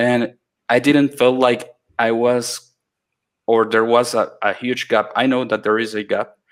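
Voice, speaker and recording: A man with a Spanish accent talks at a fairly slow pace in a monotone, flat intonation with long, frequent pauses, captured in a very clean recording with a silent background. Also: medium pitch for a man. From Latin America. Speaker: iOS developer. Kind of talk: mentoring Q&A. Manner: halting, many fillers and restarts.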